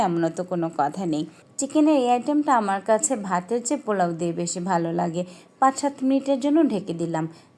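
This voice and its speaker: Her voice dark and mellow, a woman speaks at a medium pitch with lively intonation. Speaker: cooking vlogger. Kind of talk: voice-over cooking tutorial. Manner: unnatural, put-on voice-over tone.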